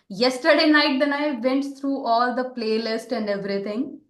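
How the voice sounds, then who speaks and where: A high-pitched woman's voice with lively intonation and audible room echo. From India. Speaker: podcast host. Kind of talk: casual interview chat.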